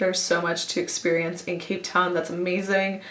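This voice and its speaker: A woman with a Canadian accent, fairly low in pitch with ordinary pitch variation, at a fairly quick pace, amid audible room echo and noticeable background noise. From Canada, Toronto. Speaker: travel vlogger. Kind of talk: storytelling vlog. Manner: chatty.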